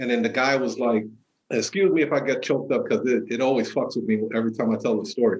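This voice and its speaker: At a very fast pace, a man speaks at medium pitch with ordinary pitch variation. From New York, child of immigrants. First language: not English. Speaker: entrepreneur and author. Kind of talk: podcast interview.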